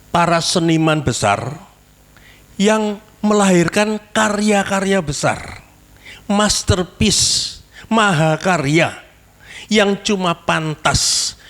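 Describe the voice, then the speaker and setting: Very slow speech from a man amid noticeable background noise. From Indonesia, East Java (Malang). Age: 70s. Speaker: pastor. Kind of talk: testimony; sermon. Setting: church service with congregation.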